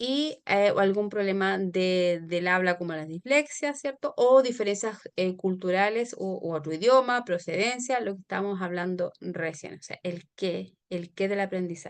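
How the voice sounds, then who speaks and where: A woman talks at a fairly slow pace with hardly any pauses. Her medium-pitched voice shows ordinary pitch variation. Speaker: teacher. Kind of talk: online lecture. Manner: hesitant, many fillers.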